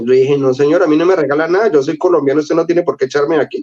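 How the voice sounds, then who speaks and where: Very fast speech from a man, fairly high-pitched, with ordinary pitch variation. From Colombia, Cali (early childhood in Venezuela). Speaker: illustrator. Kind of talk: interview storytelling. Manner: animated.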